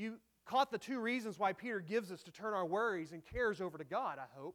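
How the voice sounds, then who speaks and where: The speaker has a Texan accent. The pace is fairly quick. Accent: Texan Southern American. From North Texas (Dallas area). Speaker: pastor. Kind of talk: sermon. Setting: church.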